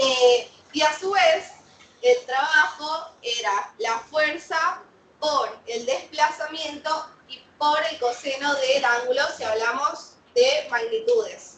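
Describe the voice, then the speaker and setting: A woman's high voice at a very slow pace, with very wide pitch swings, big swings in loudness and audible room echo. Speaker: physics teacher. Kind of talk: lecture.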